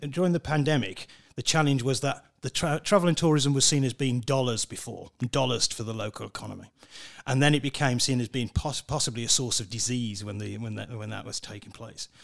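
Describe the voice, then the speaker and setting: A man with a plain, everyday voice, medium pitch, ordinary pitch variation and a fairly quick pace. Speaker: professor of crisis management. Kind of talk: interview.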